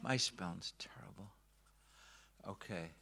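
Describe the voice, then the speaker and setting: On a very clean recording with a silent background, a man with a Northern Irish accent speaks at a fairly slow pace in a bright, sharp tone with lively intonation. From Northern Ireland, Belfast. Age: 40s. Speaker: pastor. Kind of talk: talk to church audience. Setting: stage with audience. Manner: halting.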